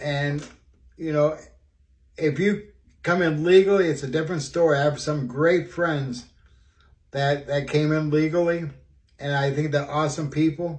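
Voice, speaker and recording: At a moderate pace, a man with a fairly high, somewhat breathy voice speaks with fairly even intonation and long, frequent pauses. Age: 60s. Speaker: student. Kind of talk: personal video monologue. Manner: halting, many fillers.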